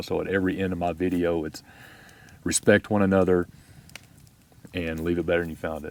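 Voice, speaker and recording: The speaker talks at a fairly quick pace in a Texas accent, with monotone, flat intonation. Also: man. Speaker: YouTube camping vlogger. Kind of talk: podcast interview. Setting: outdoors at campsite.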